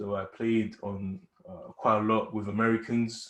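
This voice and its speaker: The man has a British accent and a medium pitch, with monotone, flat intonation. The background is quiet. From UK. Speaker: esports gamer. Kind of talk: casual interview.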